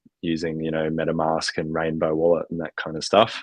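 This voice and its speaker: A man with a very deep, low pitch speaks in a dry, close recording with no echo and a quiet background. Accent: Australian. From Australia. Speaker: founder of an NFT collective for extreme athletes. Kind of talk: podcast interview. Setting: live stream with cameras off. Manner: many fillers and false starts.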